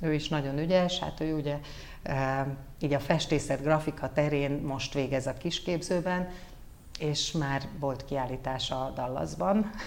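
Audible room echo around a woman's very deep, low voice, at a fairly slow pace with ordinary pitch variation. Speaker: former news anchor and model, communications head. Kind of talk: casual interview.

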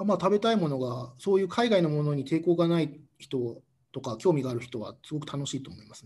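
Talking at a fairly quick pace, a man with a somewhat breathy, fairly high voice shows big swings in loudness. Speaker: expatriate company employee. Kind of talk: casual interview chat.

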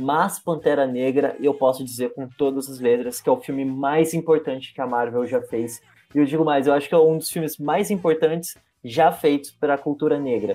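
Very clean recording with a silent background, at a moderate pace. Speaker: podcast host. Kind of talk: casual chat.

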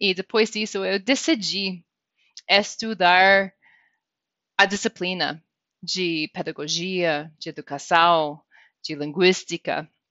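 A woman with an American accent speaks at a very slow pace and medium pitch, with ordinary pitch variation, big swings in loudness and long, frequent pauses. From US, Wyoming. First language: English (speaking Portuguese). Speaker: director of a government English language office. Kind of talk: interview. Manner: halting, with fillers and repetitions.

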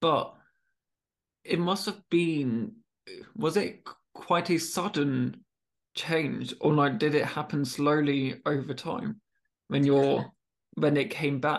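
Speaking slowly with long, frequent pauses, a man keeps a fairly high pitch and fairly even intonation.

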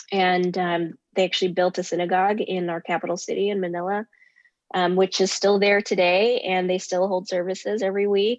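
A woman with an American accent and medium pitch talks at a fairly quick pace in a monotone, flat intonation. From United States. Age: 30s. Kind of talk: interview. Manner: hesitant, many fillers.

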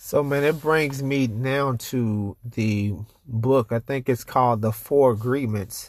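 A medium-pitched male voice at a very slow pace, fairly even in intonation, on a very clean recording with a silent background. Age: 30s. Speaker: podcast host. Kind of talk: casual chat.

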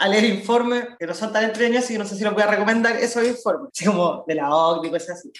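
The speaker talks at a very fast pace with a Chilean accent. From Chile, southern Santiago (La Pintana). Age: 20s. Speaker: activist and political candidate. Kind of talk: interview.

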